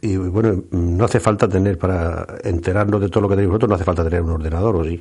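Speaking very fast with hardly any pauses, a man uses a very deep, low pitch and a dark, mellow, somewhat breathy tone with fairly even intonation. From Murcia, Spain. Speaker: radio co-host and farmer. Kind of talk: radio show chat.

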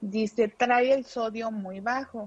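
A woman talks at a very slow speed, her fairly high pitch showing ordinary variation. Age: 30s. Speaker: mother of a sick child. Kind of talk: testimony.

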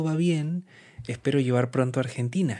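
The speech has ordinary pitch variation, and the recording is very clean with a silent background. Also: man. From Peru, Lima. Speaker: musician and composer. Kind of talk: interview. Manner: hesitant, many fillers.

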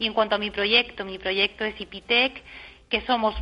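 Her speech keeps a moderate pace at a medium pitch. This woman's intonation stays monotone and flat. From Spain, Murcia. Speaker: lawyer, industrial property consultant. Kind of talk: radio interview.

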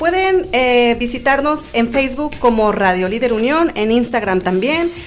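A woman with a fairly high voice speaks while noticeable background noise is present. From Veracruz, Mexico. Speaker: radio host. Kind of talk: casual chat.

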